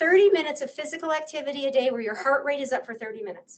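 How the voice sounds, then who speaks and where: Her pitch high and her intonation lively, a woman talks at a very fast pace. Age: 60s. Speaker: psychologist. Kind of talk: lecture. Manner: conversational.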